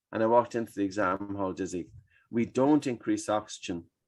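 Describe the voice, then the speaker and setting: A man with an Irish accent and ordinary pitch variation against a quiet background. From Ireland. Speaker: breathing expert. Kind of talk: podcast interview answer.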